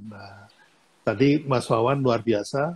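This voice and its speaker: Somewhat breathy and at a medium pitch, a man talks at a very slow pace. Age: 70s. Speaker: business mentor. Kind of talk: casual chat. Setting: Instagram Live video stream.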